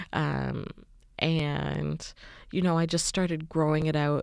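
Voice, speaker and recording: A woman with a Canadian accent speaks at a fairly slow pace on a very clean recording with a silent background. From western Canada. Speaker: podcast host. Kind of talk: solo podcast monologue, personal storytelling.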